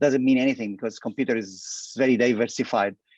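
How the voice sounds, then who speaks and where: A man with an Arabic accent against a quiet background. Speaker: petroleum industry expert. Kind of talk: interview. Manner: halting, many fillers and repetitions.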